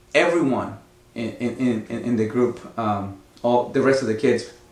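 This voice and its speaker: There is noticeable background noise and audible room echo as a man with a Mexican accent speaks at a medium pitch. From Mexico, Oaxaca. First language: Spanish. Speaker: actor. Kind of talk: interview. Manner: hesitant, many fillers.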